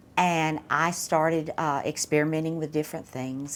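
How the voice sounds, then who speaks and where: Speaking with a Southern US accent, a woman uses a very deep, low pitch and fairly even intonation at a moderate pace. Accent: non-local Southern. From US South, South Mississippi (Laurel). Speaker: artist. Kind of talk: interview.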